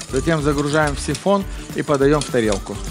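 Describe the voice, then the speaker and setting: Clear music plays in the background as a man speaks with ordinary pitch variation. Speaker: chef instructor. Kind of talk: cooking tutorial. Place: studio. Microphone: headset.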